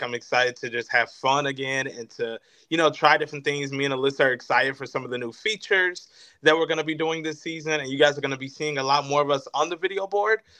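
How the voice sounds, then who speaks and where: Speaking at a very fast pace, a man uses a fairly high pitch, a bright, sharp tone, ordinary pitch variation and big swings in loudness. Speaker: stadium host and radio personality. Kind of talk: casual interview.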